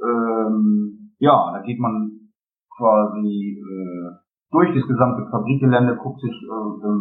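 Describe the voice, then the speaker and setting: Music sits in the background as a man at medium pitch speaks. His pace is very slow and his intonation lively. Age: 30s. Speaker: geocacher. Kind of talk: casual interview. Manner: hesitant, many filler sounds.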